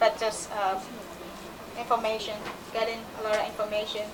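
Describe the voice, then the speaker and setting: A woman with a Burmese accent speaks at a fairly high pitch in monotone, flat intonation, with audible room echo and noticeable background noise. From Myanmar. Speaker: permaculture practitioner. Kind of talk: conference talk. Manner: halting.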